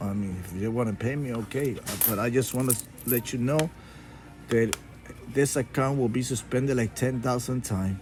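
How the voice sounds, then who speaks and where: A man with a Spanish accent speaks at a moderate pace, leaving long, frequent pauses, with music in the background. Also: medium pitch for a man, fairly even intonation. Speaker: YouTuber and coin collector. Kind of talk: casual vlog monologue. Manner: halting, with fillers and restarts.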